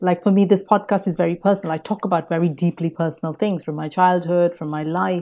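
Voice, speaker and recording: Over a quiet background, a woman talks very fast with hardly any pauses. Her voice is fairly low with a dark, mellow tone and fairly even intonation. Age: 40s. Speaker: podcaster, former advertising professional. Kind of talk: interview.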